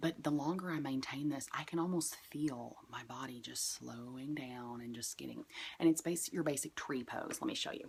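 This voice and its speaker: A woman speaks quietly with a very deep, low pitch and vocal fry. Her pitch varies in an ordinary way. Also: moderate pace. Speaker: yoga and witchcraft vlogger. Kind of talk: casual tutorial.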